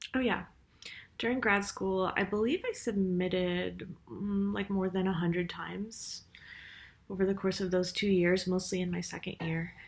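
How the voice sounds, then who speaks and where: The voice is somewhat breathy, with fairly even intonation. It moves at a fairly slow pace. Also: woman. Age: 30s. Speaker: writer and university teacher. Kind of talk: casual vlog monologue. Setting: university office. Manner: hesitant, many fillers. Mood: reflective. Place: home room. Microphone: webcam.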